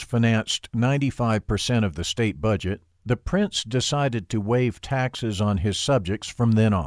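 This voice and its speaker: A man with an ordinary speaking voice talks at a moderate pace and medium pitch, with ordinary pitch variation. The very clean recording has a silent background and a dry, close sound with no echo. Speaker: audiobook narrator. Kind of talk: audiobook reading of nonfiction text. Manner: formal, even, measured; steady, expository, unemotional.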